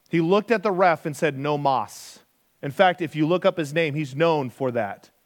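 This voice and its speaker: With an ordinary speaking voice, a man talks at a moderate pace and fairly high pitch with ordinary pitch variation, recorded very cleanly with a silent background. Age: 40s. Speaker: pastor. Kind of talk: sermon. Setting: church.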